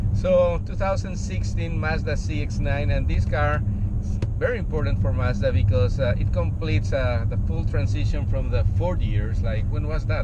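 Moderate pace and a dry sound with no echo over loud background noise. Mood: cheerful, joking. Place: car.

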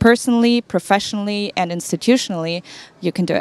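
Spoken with a German accent at a fairly quick pace, the voice has ordinary pitch variation and a dry sound with no echo. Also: woman. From Germany. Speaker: startup founder. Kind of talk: panel discussion. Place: hall. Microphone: handheld.

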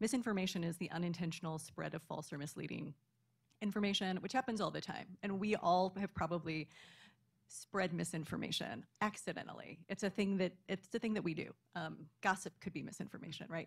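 With vocal fry and ordinary pitch variation, a woman talks at a fairly quick pace against a quiet background. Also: medium pitch for a woman. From Kansas. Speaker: librarian; panelist. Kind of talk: panel discussion. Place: hall. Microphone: studio mic.

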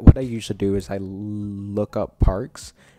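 Faint music plays in the background as a man speaks. The sound is dry, with no echo. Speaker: vlogger. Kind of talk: casual vlog chat. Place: home room. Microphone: handheld.

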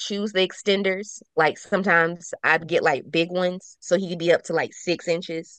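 A woman talks at a fairly quick pace in a normal speaking voice, her pitch fairly low. The sound is dry with no echo, and her intonation stays fairly even. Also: quiet background. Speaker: podcast panelist. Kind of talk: casual chat. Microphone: webcam.

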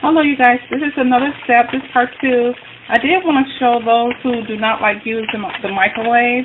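Over noticeable background noise, a woman speaks at a moderate pace with a high pitch and ordinary pitch variation. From US North. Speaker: cooking vlogger. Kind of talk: cooking tutorial. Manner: casual, hesitant with many fillers. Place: kitchen. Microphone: phone near.

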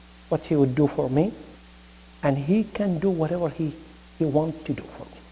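A man speaks with an Arabic accent and big swings in loudness. He leaves long, frequent pauses. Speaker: imam / Islamic preacher. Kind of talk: sermon. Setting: mosque. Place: home room.

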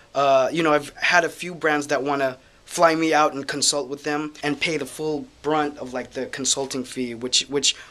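Moderate-paced male speech, flat and monotone in intonation. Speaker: educator. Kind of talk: casual vlog update. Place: office. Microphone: phone near.

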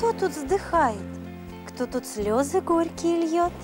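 With clear music in the background, a woman does a put-on character voice at an extremely high pitch, speaking at a slow pace with lively intonation.

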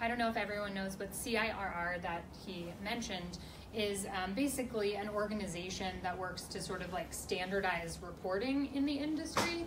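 Noticeable background noise sits behind this recording. A woman talks at a moderate pace. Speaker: panelist. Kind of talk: Q&A panel answer. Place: meeting room. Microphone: camera far.

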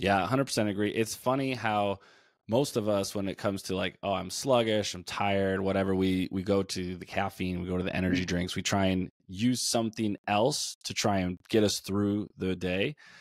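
A man with a fairly low pitch speaks at a moderate pace with fairly even intonation and hardly any pauses. The sound is dry with no echo, over a quiet background. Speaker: nutrition coach, podcast co-host. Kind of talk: conversational podcast discussion. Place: home room. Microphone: studio mic.

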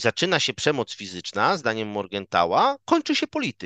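A man with a bright, sharp tone at a moderate pace, the sound dry with no echo and the background quiet. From Poland, Szczecin; Poland. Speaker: political scientist, lecturer; guest. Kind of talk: academic interview; interview answer. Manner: hesitant, frequent fillers and repetitions. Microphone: headset.

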